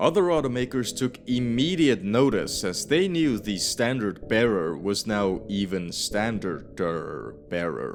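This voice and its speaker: With music in the background, a man with a non-native accent speaks at a fairly slow pace with hardly any pauses, his fairly low pitch moving in very wide swings. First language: not English. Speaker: car history video narrator. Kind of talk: scripted narration.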